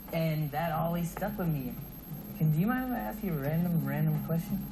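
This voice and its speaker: A fairly high-pitched man's voice with an American accent and lively intonation at a fairly quick pace, amid noticeable background noise and audible room echo. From Orlando, Florida. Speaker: aspiring singer-songwriter. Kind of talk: casual chat.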